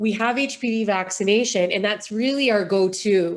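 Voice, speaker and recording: A woman talks at a medium pitch with ordinary pitch variation, in an ordinary speaking voice. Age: 40s. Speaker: charity founder. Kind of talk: interview.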